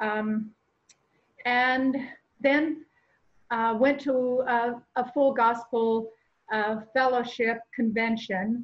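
A woman talks at a very slow pace and a high pitch, with long, frequent pauses. Her intonation stays fairly even. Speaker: church ministry volunteer. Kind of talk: testimony. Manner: halting.

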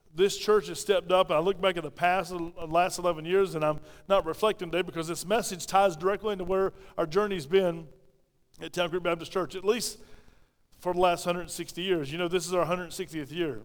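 A man with a South Carolina accent speaks at a high pitch with fairly even intonation. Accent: Southern US (South Carolina). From South Carolina (Pauline). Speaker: pastor. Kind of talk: sermon. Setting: church. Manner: fast talker; mumbles, clips words.

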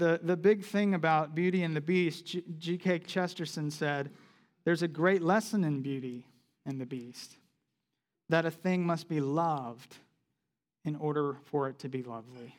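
In an unremarkable speaking voice, a man with an American accent talks at a moderate pace, pitched fairly high with ordinary variation. The recording is very clean, with a silent background. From US South, South Carolina. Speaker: campus ministry pastor. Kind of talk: sermon. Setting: church with congregation. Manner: conversational with frequent fillers.

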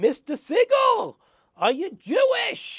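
Shouting in a put-on character voice, a man reaches an extremely high pitch with very wide pitch swings. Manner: incredulous, questioning.

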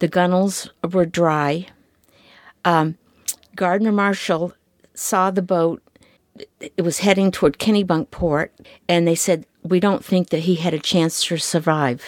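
A woman with an American accent at a fairly slow pace and fairly low pitch, with fairly even intonation, very even loudness, long, frequent pauses and a dry, close sound with no echo. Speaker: fisherman's wife. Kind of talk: testimony.

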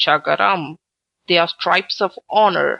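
Putting on a gruff character voice, a woman speaks at a moderate pace and a fairly low pitch.

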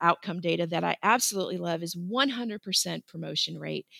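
A woman speaks at a medium pitch in a dry, close recording with no echo. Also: very clean recording, silent background. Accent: American. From Florida. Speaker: school counselor. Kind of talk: interview.

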